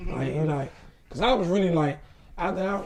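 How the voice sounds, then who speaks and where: Room echo can be heard as a man with a high pitch talks at a very fast pace. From Washington DC. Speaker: comedian. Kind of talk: casual chat.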